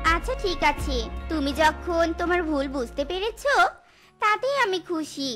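Clear music plays behind a female-sounding voice doing a put-on character at an extremely high pitch. The pace is moderate. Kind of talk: market hawker call.

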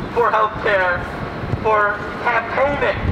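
Fairly slow delivery over noticeable background noise. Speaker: rally speaker, activist. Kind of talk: rally speech. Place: street. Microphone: camera far.

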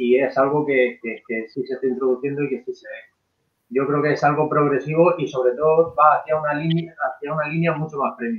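A man talks in a normal speaking voice at a moderate pace. His pitch is fairly high and his intonation fairly even. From Spain. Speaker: rum brand co-founder. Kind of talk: casual chat. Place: home room. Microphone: video call.

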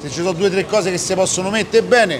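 There is light background noise, but the sound is dry with no echo. A man speaks at a high pitch. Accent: Roman. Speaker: YouTuber doing street reportage. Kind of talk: on-location street interviews and vlog narration. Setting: outdoors at a train station. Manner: animated, crude joking. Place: street.

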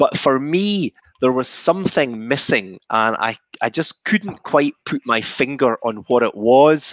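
Over a quiet background, a man in a Scottish accent speaks fairly slowly with lively intonation, the sound dry with no echo. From Scotland. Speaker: whisky maker. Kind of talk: guided whisky tasting. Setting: video call. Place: home room. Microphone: headset.

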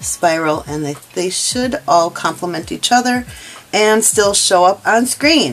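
The speaker moves at a fairly slow pace. Faint music plays in the background. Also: woman. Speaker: crochet instructor. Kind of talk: tutorial. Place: home room.

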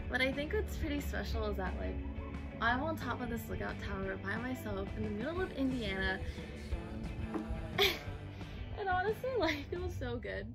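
A woman speaks at a moderate pace with long, frequent pauses as clear music plays in the background. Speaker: travel vlogger. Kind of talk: casual vlog chat. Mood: joyful, reflective. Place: open country. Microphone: phone near.

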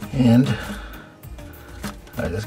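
A man speaks with clear music in the background. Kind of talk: tutorial. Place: kitchen. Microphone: phone near.

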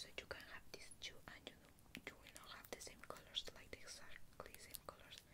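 Whispering at a moderate pace, a woman speaks. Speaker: ASMR creator. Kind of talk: ASMR whispered show-and-tell. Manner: whispered, soft-spoken.

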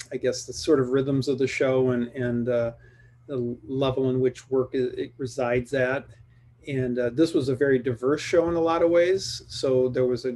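Using fairly even intonation, a man delivers his words at a fairly slow pace. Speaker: guest. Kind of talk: interview answer. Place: home room. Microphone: video call.

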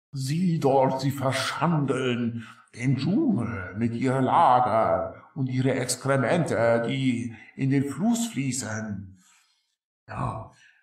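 A guttural male voice moves at a very slow pace with medium pitch and ordinary pitch variation. A slight echo is present. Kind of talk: comic fantasy voice acting. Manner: timid, self-deprecating, broken speech.

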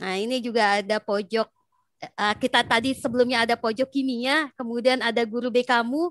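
The speech has fairly even intonation at a moderate pace. The sound is dry with no echo, over a quiet background. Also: woman, high pitch for a woman. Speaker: school counselor and psychologist, moderator; moderator. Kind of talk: webinar moderation. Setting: video call.

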